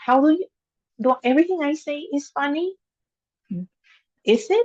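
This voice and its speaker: A woman with a non-native accent talks at a moderate pace with lively intonation, captured in a dry, close sound with no echo. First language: not English. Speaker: engineer and amateur public speaker. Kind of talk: practice speech to camera. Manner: unscripted, with filler words.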